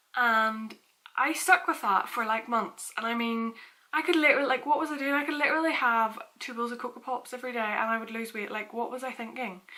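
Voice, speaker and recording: A woman's high voice in a Northern Irish accent, at a fairly quick pace with ordinary pitch variation. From Northern Ireland, Portstewart. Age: 20s. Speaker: fitness vlogger. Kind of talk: casual vlog talk.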